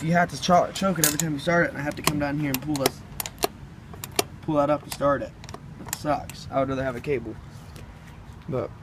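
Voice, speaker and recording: A man's fairly high voice at a very fast pace, with long, frequent pauses, fairly even intonation and noticeable background noise. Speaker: tractor hobbyist. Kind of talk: casual talk to camera.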